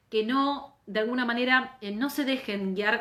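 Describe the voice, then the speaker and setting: A woman speaks in an animated tone with ordinary pitch variation. There is noticeable background noise. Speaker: labor lawyer and teacher. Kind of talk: live online lecture. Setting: Instagram live stream.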